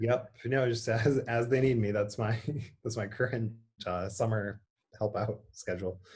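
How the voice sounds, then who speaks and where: A man's somewhat breathy voice at medium pitch, with fairly even intonation and an Upper Michigan accent. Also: moderate pace. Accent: Yooper accent, noticed on certain words. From Upper Peninsula of Michigan, Kingsford. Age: young. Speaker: priest. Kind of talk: casual interview chat. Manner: halting, many fillers and repeats.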